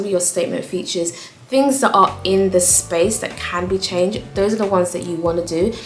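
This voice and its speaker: A woman speaks at a medium pitch with fairly even intonation. Noticeable background noise runs underneath. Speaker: interior design vlogger. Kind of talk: casual tutorial to camera. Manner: fast.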